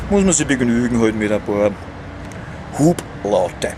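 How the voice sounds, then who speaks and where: A medium-pitched man speaks with very wide pitch swings over noticeable background noise. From Vienna. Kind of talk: casual talk to camera. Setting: outdoors. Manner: rambling, slightly tipsy.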